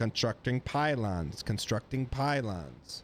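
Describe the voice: A man puts on a robotic character voice at medium pitch and a fairly slow pace, with clear background noise behind him.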